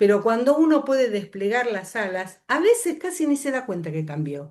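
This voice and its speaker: Her pitch is fairly high and swings very widely. The woman speaks with a Rioplatense accent at a moderate pace. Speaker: workshop facilitator. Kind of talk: lecture.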